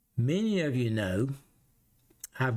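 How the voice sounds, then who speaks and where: With a Southern US accent, a man at medium pitch talks at a moderate pace, his pitch swinging very widely. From US South. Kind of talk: casual Q&A.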